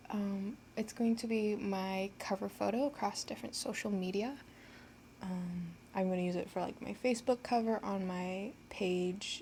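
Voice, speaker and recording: Somewhat breathy and shaky, a woman of medium pitch speaks at a moderate pace with a dark, mellow tone and ordinary pitch variation. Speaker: art channel creator. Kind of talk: casual voice-over tutorial. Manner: halting, many filler ums; shaky voice. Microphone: low quality recording.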